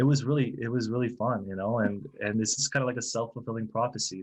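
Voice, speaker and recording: A man with an American accent talks at a fairly quick pace in a medium pitch, with fairly even intonation and a plain, everyday voice. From US South, Florida (Bartow, near Tampa). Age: 40s. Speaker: translator, translation company manager. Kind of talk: podcast interview.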